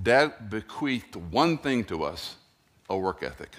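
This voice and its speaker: With lively intonation and at a fairly slow pace, a man talks in an ordinary speaking voice. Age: 60s. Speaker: pastor. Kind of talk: sermon. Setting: church.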